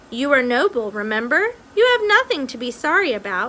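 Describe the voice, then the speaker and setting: The put-on character voice is raised and projected, moving at a fairly quick pace through very wide pitch swings. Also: woman, high pitch for a woman. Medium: read story.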